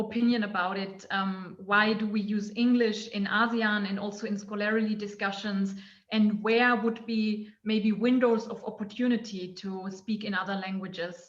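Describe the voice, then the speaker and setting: A woman speaks at a moderate pace in a fairly high pitch, with hardly any pauses and a flat, monotone delivery. The room echo is audible, and background noise is noticeable. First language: not English. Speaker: anthropologist. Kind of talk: academic panel discussion question. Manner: halting, many fillers.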